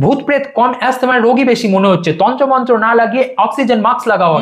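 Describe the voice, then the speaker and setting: A man speaks with extremely high pitch and ordinary pitch variation. His loudness stays very even over noticeable background noise. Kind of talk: comedic roast commentary. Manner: sarcastic, joking.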